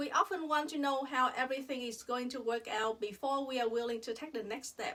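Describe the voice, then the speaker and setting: Speaking with a Vietnamese accent, a woman has a high pitch and a bright, sharp tone. She keeps a moderate pace with ordinary pitch variation. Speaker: dentist. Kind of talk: personal reflection monologue.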